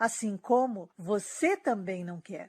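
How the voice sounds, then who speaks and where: Speaking with a Brazilian accent, a woman goes at a fairly slow pace in a somewhat breathy voice. The recording is very clean, with a silent background. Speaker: dating coach. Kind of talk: sales pitch.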